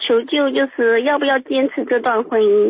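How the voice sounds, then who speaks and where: Speaking at a very slow pace, a woman uses a high voice with ordinary pitch variation. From southern China. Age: 30s. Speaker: caller. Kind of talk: phone call confiding personal problem. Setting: phone call. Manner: halting with many fillers.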